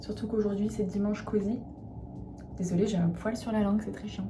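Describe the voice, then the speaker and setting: Music plays in the background while a woman talks. Her pitch is medium and her intonation flat and monotone. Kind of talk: casual talk to camera, vlog with skincare routine. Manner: relaxed, chatty, soft.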